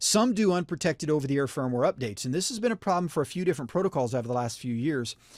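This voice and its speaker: A man talks with lively intonation in a slight West Virginia accent. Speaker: wireless networking instructor. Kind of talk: webinar presentation. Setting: online webinar. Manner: many fillers (uh, um).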